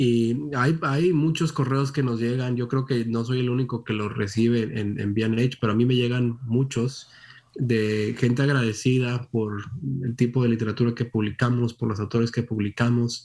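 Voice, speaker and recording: This man has a plain, everyday voice at a medium pitch, talking at a moderate pace with fairly even intonation. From Monterrey, northern Mexico. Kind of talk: interview.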